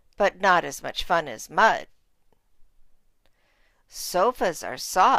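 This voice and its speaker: In a put-on character voice, raspy and at a very slow pace, the speaker leaves long, frequent pauses. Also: woman, medium pitch for a woman. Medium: read story.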